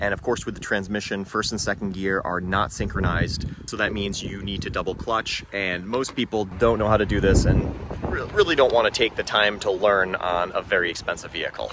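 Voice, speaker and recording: Over noticeable background noise, a man talks at a fairly quick pace. The sound is dry, with no echo. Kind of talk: casual explanatory walkthrough. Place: garden. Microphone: phone near.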